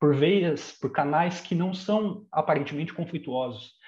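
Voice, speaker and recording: At a moderate pace, a man speaks somewhat breathily with ordinary pitch variation. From Brazil, São Bernardo do Campo (São Paulo state). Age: 30s. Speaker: historian. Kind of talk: interview.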